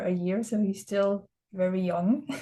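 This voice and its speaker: A woman with a Danish accent has a dark, mellow tone, a somewhat breathy sound and a fairly high pitch. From Denmark, southern Jutland. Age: 20s. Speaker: student and teacher. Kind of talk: presentation. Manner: hesitant, many fillers.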